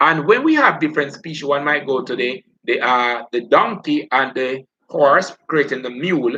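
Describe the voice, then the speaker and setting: The man's tone is bright and sharp. He talks at a moderate pace. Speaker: biology teacher. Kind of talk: live online lesson.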